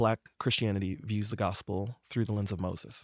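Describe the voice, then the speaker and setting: A man uses a normal speaking voice with a fairly low pitch and fairly even intonation at a moderate pace, in a dry, close sound with no echo on a very clean recording with a silent background. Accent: American. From Detroit, Michigan, then North Carolina from age twelve. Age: 30s. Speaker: singer-songwriter and speaker on racism. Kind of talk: interview conversation.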